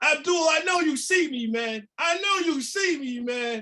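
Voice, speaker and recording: A man shouts in a raised, projected voice with a bright, sharp tone. His intonation is lively and his tone animated. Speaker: motivational speaker on fatherhood and reentry. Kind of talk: conference presentation. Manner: loud, yelling; animated, high energy.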